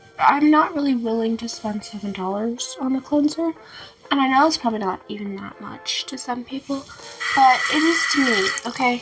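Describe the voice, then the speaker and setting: Music plays in the background as a high-pitched woman talks at a moderate pace. Her intonation is lively, with big swings in loudness. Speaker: beauty vlogger. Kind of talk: casual chat. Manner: casual, filler-heavy.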